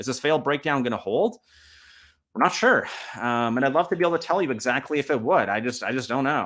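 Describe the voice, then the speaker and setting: With a fairly high pitch and lively intonation, a man talks at a very fast pace on a very clean recording with a silent background. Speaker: stock market commentator. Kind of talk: market analysis with screen walkthrough. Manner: animated.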